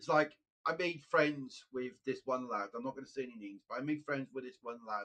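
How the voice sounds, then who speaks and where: In a Welsh accent, a man talks at a fairly quick pace and medium pitch. His tone is bright and sharp, with ordinary pitch variation. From Wales. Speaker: gaming live streamer. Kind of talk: casual chat. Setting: live stream with headset. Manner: repetitive, halting.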